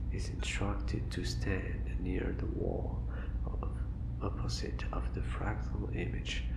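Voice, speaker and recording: Very slow pace over noticeable background noise. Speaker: ASMR content creator. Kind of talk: ASMR horror story reading.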